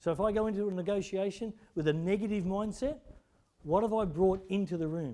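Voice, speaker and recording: A man talks at a fairly quick pace in a dark, mellow tone, with ordinary pitch variation. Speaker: leadership seminar presenter. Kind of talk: seminar lecture. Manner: fast.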